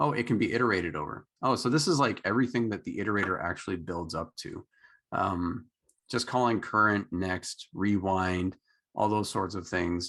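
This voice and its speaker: Over a quiet background, a man with a Canadian accent speaks at a moderate pace in a very deep, low pitch with ordinary pitch variation. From Canada. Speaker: meetup organizer and programming teacher. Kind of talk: live coding tutorial.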